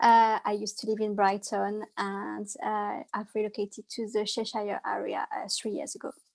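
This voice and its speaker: Speaking with hardly any pauses, a woman with a French accent comes through in a dry, close sound with no echo in a very clean recording with a silent background. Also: moderate pace. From France, Loire Valley. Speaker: holistic therapist. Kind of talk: interview. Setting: live stream from a pub. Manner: hesitant, many fillers.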